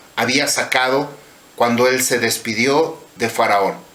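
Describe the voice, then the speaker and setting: A man talks at a very slow pace. Noticeable background noise and audible room echo fill the recording. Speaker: religious teacher. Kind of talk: sermon.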